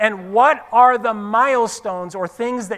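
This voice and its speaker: A man speaks in an animated tone. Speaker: motivational speaker. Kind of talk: seminar talk to live audience. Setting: stage with audience. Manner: fast.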